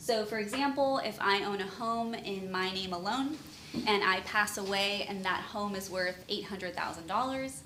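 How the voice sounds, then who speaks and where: Noticeable background noise and audible room echo are both present. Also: woman. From Southern California, Chula Vista (San Diego area). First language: Spanish. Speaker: estate planning attorney. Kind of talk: seminar presentation. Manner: casual, with frequent fillers.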